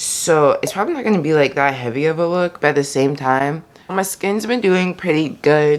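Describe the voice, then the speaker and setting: A soft-spoken woman with an American accent talks at a moderate pace. Her pitch is very deep and low, and her intonation is lively. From US South. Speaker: beauty vlogger, college student. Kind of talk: casual chat. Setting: home, filming makeup video. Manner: quiet, soft-spoken; chatty, filler-heavy.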